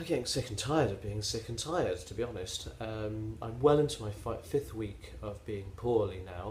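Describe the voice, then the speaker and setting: The voice moves at a moderate pace with ordinary pitch variation and hardly any pauses. Audible room echo and noticeable background noise fill the recording. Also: man, medium pitch for a man. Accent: West Country. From England, West Country (Somerset). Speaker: knitting podcaster. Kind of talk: casual vlog monologue. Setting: self-filmed at home on a tablet. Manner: hesitant, many fillers.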